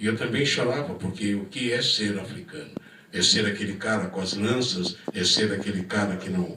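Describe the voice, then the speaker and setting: There is noticeable background noise and audible room echo as a man talks in a fairly low pitch with ordinary variation. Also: moderate pace. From Minas Gerais, Brazil. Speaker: panel speaker at film event. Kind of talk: personal testimony to audience.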